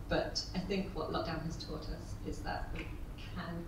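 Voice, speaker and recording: Through noticeable background noise and audible room echo, a woman's voice is heard. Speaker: panellist. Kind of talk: panel discussion remarks. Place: hall.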